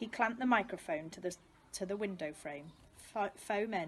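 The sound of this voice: An unforced voice reads the text.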